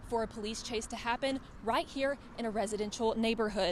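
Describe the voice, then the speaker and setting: A woman with an ordinary speaking voice talks at a moderate pace, her fairly high pitch showing ordinary variation. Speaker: TV news reporter and anchor. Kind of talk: TV field news report. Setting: outdoors.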